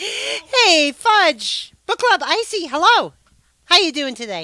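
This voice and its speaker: A woman with an American accent uses a raised, projected voice at an extremely high pitch. Her tone is bright and sharp, her pitch swings very widely, and her pace is very slow. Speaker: live streamer. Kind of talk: casual live stream chat. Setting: live stream on camera. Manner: loud.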